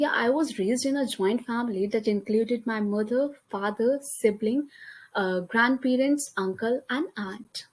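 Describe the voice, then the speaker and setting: A woman speaks in a high pitch with an Indian accent. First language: Hindi. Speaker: college student. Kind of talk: class presentation. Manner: halting.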